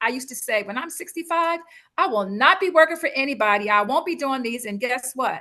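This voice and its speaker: Her tone animated and bright, sharp in quality, a woman talks at a fairly quick pace. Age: 60s. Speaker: speaker and business coach. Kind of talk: interview conversation.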